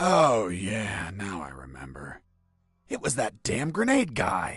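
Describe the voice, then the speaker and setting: A man puts on a character voice with fairly low pitch and very wide swings. He speaks at a fairly slow pace. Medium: video game. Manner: deadpan, sardonic.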